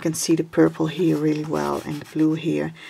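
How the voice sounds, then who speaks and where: A woman is speaking. She has a Dutch accent. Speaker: craft video creator. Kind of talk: tutorial. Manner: halting.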